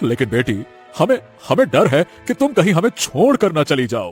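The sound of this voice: A man does a cartoonish character voice at a moderate pace, pitched fairly high with a slightly husky edge and very wide pitch swings, over faint music in the background.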